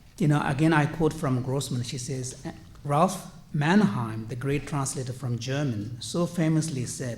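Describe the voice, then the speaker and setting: A man at a fairly high pitch and a fairly slow pace, with ordinary pitch variation and audible room echo. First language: not English. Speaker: conference panelist, translator. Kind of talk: conference panel talk. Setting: conference panel. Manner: hesitant, frequent fillers.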